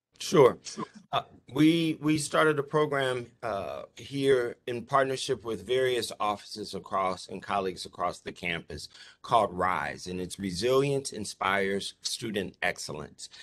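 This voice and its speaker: A normal speaking voice from a man, medium in pitch, fairly slow, with lively intonation. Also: quiet background. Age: 50s. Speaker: university diversity officer. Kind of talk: conference presentation. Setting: video call. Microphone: video call.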